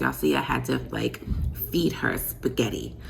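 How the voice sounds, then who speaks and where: A quiet woman speaks at a moderate pace with lively intonation. The recording has audible room echo and noticeable background noise. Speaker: vlogger, mom. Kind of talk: casual vlog talk to camera. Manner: quiet, talking low.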